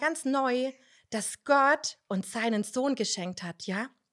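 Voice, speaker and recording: Speaking at a very slow pace, a woman uses a high pitch and lively intonation. The recording is very clean, with a silent background. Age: 30s. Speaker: nursery teacher and church children's leader. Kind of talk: casual devotional talk.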